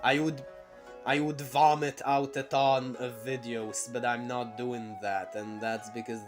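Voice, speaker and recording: Over music in the background, a man talks at a fairly slow pace, his pitch medium with ordinary variation. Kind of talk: unscripted casual talk to camera. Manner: stuttering.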